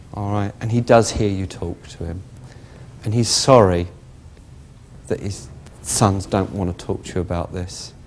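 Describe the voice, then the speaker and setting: Delivered in a southern English accent at a fairly slow pace, the speech has ordinary pitch variation, big swings in loudness, and long, frequent pauses. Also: man. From West Sussex, England. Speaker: psychic medium. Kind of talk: psychic reading to audience member. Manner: warm, reassuring.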